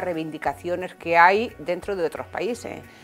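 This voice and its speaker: A woman with a fairly low voice speaks at a moderate pace, keeping her intonation fairly even. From Spain. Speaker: political scientist. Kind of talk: TV interview. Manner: formal.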